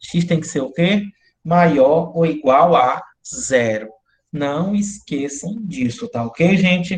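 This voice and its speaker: A man's fairly high voice, very slow, with ordinary pitch variation. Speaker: university math lecturer. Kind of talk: online lecture.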